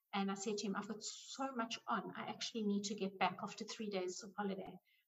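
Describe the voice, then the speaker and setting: Monotone, flat intonation comes through in a somewhat breathy voice. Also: woman. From South Africa. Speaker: money coach. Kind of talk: interview.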